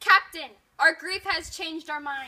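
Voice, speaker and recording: A female-sounding voice in a put-on character voice, pitched extremely high. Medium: stage play.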